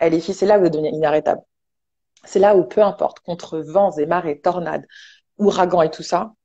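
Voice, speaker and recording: Lengthy pauses come often in the speech. Between them, the words move along fairly quickly. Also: woman, fairly low pitch for a woman. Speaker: online entrepreneur and motivational speaker. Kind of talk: casual talk show chat. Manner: fast; animated.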